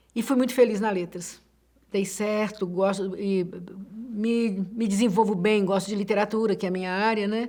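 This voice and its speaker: At a moderate pace, a woman with a medium pitch and a dark, mellow tone speaks with fairly even intonation. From Minas Gerais, Brazil (Betim). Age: 60s. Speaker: literature professor. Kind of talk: interview. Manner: halting.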